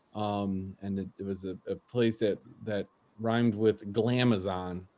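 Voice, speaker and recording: A man with a Chicago accent speaks at a fairly slow pace in a dark, mellow tone. His fairly low voice stays monotone and flat. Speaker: open mic comedy host. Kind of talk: casual stand-up banter. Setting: online video stream with audience on mute. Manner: halting, many repeated fillers.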